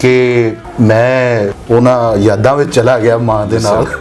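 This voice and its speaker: A man with ordinary pitch variation and very even loudness, with music in the background. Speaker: talk show host. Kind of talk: hosting a poetry interview.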